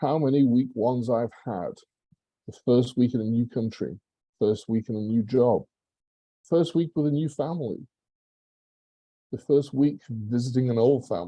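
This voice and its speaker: A man with an English accent speaks at medium pitch and moderate pace, his tone dark and mellow. His pitch varies in an ordinary way, and he leaves long, frequent pauses. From England. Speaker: public speaking club member. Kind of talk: prepared speech.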